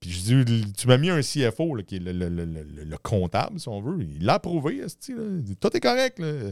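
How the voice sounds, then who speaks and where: Someone with a Quebec accent speaks at a fairly slow pace with hardly any pauses, very wide pitch swings and big swings in loudness, on a very clean recording with a silent background. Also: man, medium pitch for a man. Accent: Québécois French. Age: 40s. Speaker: entrepreneur. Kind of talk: casual interview.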